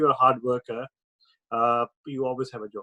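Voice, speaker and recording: The man's voice sits at a medium pitch, delivered with monotone, flat intonation. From India. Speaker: entrepreneur. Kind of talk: interview answer.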